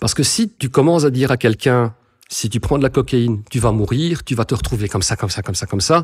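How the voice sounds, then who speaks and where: Speaking at a very fast pace, a man with a medium pitch sounds somewhat breathy and uses ordinary pitch variation. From Belgium, Brussels suburbs. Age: 40s. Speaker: recovering addict, content creator. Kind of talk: testimony.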